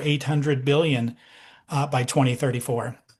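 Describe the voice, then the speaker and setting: Somewhat breathy male voice at a fairly high pitch over a quiet background. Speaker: doctor presenting a product. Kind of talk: sales pitch on video call. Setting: video call. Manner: animated.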